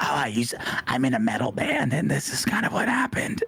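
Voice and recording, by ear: A man's put-on character voice at a fairly quick pace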